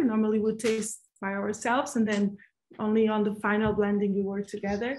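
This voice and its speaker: In a Portuguese accent, a woman speaks at a moderate pace with a fairly high, somewhat breathy voice. The background is quiet. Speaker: winemaker. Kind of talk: panel discussion. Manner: halting.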